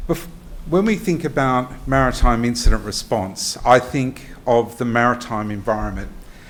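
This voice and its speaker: Pitch varies in an ordinary way as the words come at a moderate tempo. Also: man, medium pitch for a man. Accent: Australian. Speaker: emergency management consultant. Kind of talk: presentation. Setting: workshop venue with audience.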